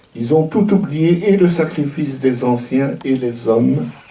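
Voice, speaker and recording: A man speaks at a very slow pace with lively intonation against noticeable background noise. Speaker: retired university professor and activist. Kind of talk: commemorative speech.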